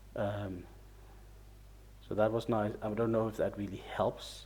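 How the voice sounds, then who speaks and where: Someone mumbles at a fairly slow pace. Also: man. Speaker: video game reviewer. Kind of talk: casual game review monologue. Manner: mumbling; halting, hesitant.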